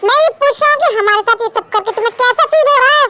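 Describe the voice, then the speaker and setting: A woman's squeaky put-on character voice at an extremely high pitch, rushed at a very fast pace, with ordinary pitch variation and very even loudness. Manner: angry, shouting.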